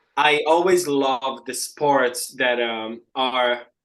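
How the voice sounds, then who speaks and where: In an Italian accent, a man with a medium-pitched voice speaks very slowly, with fairly even intonation. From Italy, Palermo, Sicily. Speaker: real estate agent. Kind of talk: podcast interview. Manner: halting, many fillers.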